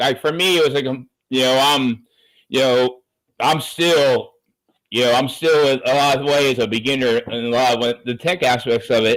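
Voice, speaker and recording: A man uses a plain, everyday voice with an American accent at a medium pitch and moderate pace. His intonation is fairly even and his loudness very even. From Southern California. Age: 50s. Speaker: chef turned digital marketer. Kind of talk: casual interview chat.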